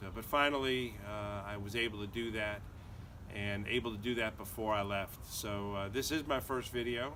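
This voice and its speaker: With audible room echo around him, a man speaks at a fairly low pitch with fairly even intonation. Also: moderate pace. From US Northeast (Connecticut). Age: 60s. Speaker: hiker and lawyer vlogger. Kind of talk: casual vlog monologue. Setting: outdoors in backyard. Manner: hesitant, many fillers.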